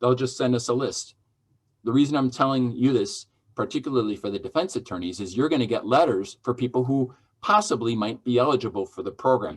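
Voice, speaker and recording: A man speaks at a fairly quick pace, his pitch medium with ordinary variation. The recording is very clean, with a silent background. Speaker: judge. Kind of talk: lecture. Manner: fast.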